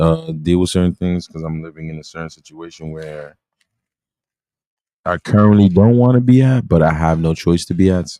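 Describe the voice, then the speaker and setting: With an American accent, a man talks at a fairly quick pace. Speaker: live streamer. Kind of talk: casual live stream chat. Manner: fast; slurring words.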